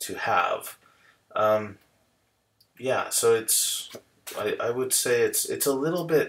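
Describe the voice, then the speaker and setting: A man speaks with an American accent. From United States. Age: 30s. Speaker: software engineer. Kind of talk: casual talk to camera. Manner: hesitant, many fillers.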